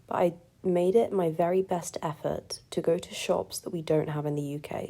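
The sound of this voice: A woman puts on a character voice, raspy and very deep in pitch. She delivers it at a moderate pace.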